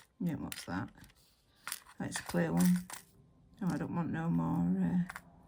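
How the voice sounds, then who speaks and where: Speaking at a fairly slow pace, a woman with a very deep, low voice and a dark, mellow tone swings her pitch very widely. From Yorkshire, northern England. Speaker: nail artist, video creator. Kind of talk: casual tutorial chat while working. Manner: rambling, hesitant with many fillers.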